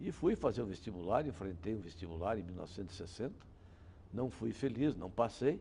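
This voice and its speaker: A man's fairly low voice with a dark, mellow tone. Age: 70s. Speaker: criminal defense lawyer. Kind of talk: interview.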